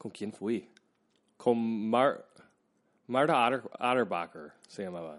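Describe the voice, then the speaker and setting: Against a quiet background, a man at medium pitch talks at a very slow pace with lively intonation, long, frequent pauses and big swings in loudness. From US Midwest (Troy, Michigan, near Detroit). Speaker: actor. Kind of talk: casual chat.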